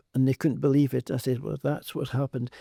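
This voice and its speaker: In a dry, close sound with no echo, a man speaks in a flat monotone with a dark, mellow tone. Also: very clean recording, silent background. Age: 80s+. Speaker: hyperbaric oxygen therapy expert. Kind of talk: podcast interview.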